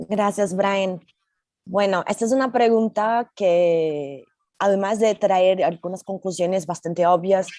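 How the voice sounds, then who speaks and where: A woman with a Brazilian accent speaks at a very slow pace in a dark, mellow tone of medium pitch and ordinary variation. Her loudness stays very even, and the sound is dry and close with no echo. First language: Portuguese (speaking Spanish). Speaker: tech company safety manager. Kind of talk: panel discussion.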